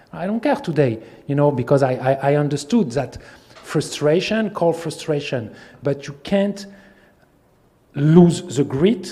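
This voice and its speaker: A man speaks with a French accent at a fairly slow pace and fairly high pitch, leaving long, frequent pauses. His intonation is lively. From France. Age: 40s. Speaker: film distributor. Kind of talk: masterclass talk. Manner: animated.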